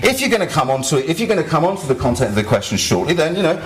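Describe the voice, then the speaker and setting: With audible room echo and noticeable background noise, a man speaks with lively intonation. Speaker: activist and blogger giving a talk. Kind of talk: conference talk. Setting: stage with audience. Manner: fast.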